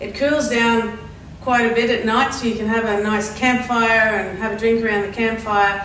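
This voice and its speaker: With noticeable background noise and audible room echo, a woman speaks at a moderate pace in a fairly high pitch, her intonation monotone and flat. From Netherlands. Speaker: tourist information centre worker. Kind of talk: casual interview. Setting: tourist information centre.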